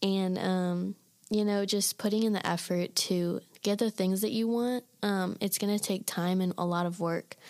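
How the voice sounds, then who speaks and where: A woman speaks with an Iowa accent in a monotone, flat way. Her loudness stays very even on a very clean recording with a silent background. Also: medium pitch for a woman, moderate pace. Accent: Midwestern (Iowa), noticeable. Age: young. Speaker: college student. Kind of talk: casual chat.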